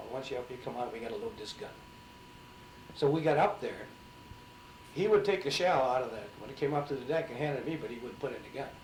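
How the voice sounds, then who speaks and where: With an Upper Midwest accent, a man talks at a very fast pace with lively intonation, big swings in loudness, and long, frequent pauses over noticeable background noise. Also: fairly high pitch for a man. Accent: Upper Midwest American. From St. Cloud, Minnesota. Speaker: Navy veteran, Pearl Harbor survivor. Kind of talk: oral history interview answer.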